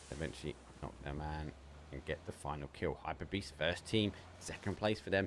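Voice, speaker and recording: With an Essex accent, a man speaks at a very deep, low pitch with vocal fry and ordinary pitch variation. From England, Essex. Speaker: esports caster. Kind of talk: live commentary. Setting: live stream. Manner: fast.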